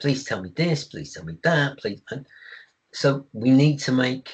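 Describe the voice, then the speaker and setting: A man talks in an English accent with a fairly high pitch. His voice is somewhat breathy, and his intonation is lively. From England. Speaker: IT service management expert. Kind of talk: webinar presentation. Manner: halting with fillers.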